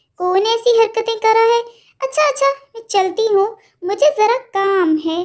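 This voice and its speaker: In a cartoonish character voice, a female-sounding voice at an extremely high pitch speaks at a moderate pace. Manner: direct, questioning.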